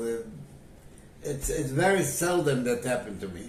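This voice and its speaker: A man's voice at medium pitch, with noticeable background noise. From Poland. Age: 80s+. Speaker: Holocaust survivor. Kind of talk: interview answer.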